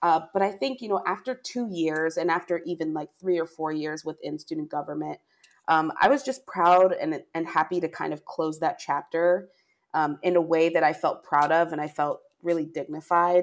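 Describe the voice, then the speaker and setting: This woman has a plain, everyday voice, fairly low in pitch, with ordinary pitch variation. She talks at a moderate pace in a very clean recording with a silent background. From Pennsylvania. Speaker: talent management professional. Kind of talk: interview.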